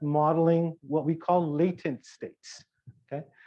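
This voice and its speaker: With a fairly high pitch and ordinary pitch variation, a man speaks at a moderate pace. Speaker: university professor. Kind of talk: lecture. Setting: workshop with live audience. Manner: soft-spoken.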